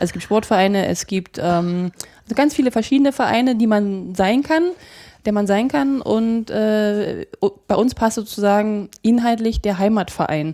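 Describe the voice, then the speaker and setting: Her pitch varies in an ordinary way as a woman talks at a moderate speed. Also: fairly high pitch for a woman. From Brandenburg, Uckermark (Prenzlau, Templin). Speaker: regional association founder. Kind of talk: interview. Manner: halting.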